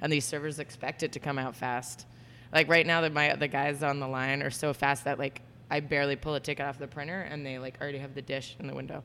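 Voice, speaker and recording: A woman with an American accent speaks at a very deep, low pitch. Her intonation is monotone and flat, at a fairly quick pace. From Florida, US. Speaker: executive chef. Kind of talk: casual interview. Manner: casual, filler-heavy.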